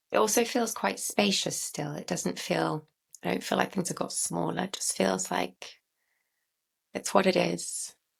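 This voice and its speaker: With vocal fry and a very deep, low pitch, a woman speaks at a fairly slow pace, her pitch swinging very widely. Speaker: somatic practice facilitator. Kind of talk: guided experiential session. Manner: slow, reflective.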